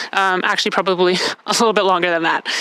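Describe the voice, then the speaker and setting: Through noticeable background noise, a woman speaks at medium pitch with ordinary pitch variation. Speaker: CrossFit athlete and vlogger. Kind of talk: casual vlog recap. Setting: outdoors on a deck. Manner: fast.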